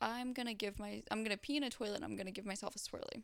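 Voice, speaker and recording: With an American accent, a woman speaks at a medium pitch with fairly even intonation in a plain, everyday voice. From US South, Florida (Fort Lauderdale area). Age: 20s. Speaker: adult film performer. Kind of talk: casual interview. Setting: studio.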